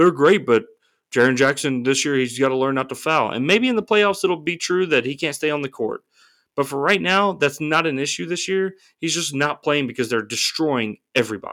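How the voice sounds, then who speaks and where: Lively intonation marks this man's fairly high-pitched voice, an unremarkable speaking voice delivered at a fairly quick pace. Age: 30s. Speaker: sports podcast co-host. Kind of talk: casual chat. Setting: remote recording.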